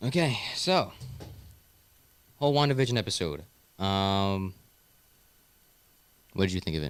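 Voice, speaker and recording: The speech has lively intonation and long, frequent pauses. The recording is very clean with a silent background. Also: man, fairly low pitch for a man, moderate pace. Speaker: podcast host. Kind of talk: casual chat.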